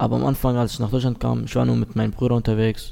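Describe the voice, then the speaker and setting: A man is speaking. His tone is dark and mellow. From Syria. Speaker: youth program participant. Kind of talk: casual interview.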